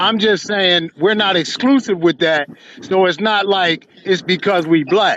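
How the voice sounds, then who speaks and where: Against noticeable background noise, the voice keeps a very even loudness, with ordinary pitch variation and a fairly slow pace. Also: man, high pitch for a man. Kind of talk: heated debate.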